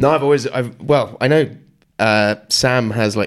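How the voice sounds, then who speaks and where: A man talks fairly quickly in an ordinary speaking voice. His pitch variation is ordinary. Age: 30s. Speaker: podcast host. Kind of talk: casual chat.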